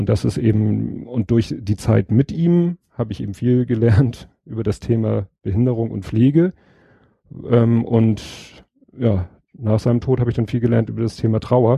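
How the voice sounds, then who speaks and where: A somewhat breathy man speaking at a fairly slow pace, with ordinary pitch variation. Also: medium pitch for a man. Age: 40s. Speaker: podcaster. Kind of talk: casual chat.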